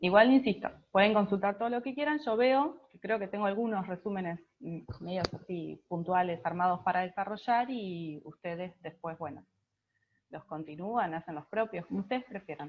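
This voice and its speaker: In a normal speaking voice, a woman talks at a moderate pace and medium pitch with lively intonation. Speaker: biology tutor. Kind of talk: online class.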